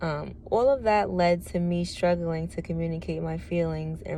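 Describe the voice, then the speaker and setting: Here a woman talks at a fairly slow pace. Audible room echo surrounds her voice. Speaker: testimony vlogger. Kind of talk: reading aloud; testimony. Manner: monotone.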